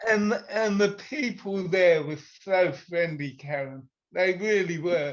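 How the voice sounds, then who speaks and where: A man with a British accent, high-pitched and at a fairly slow pace. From UK. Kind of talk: casual interview chat.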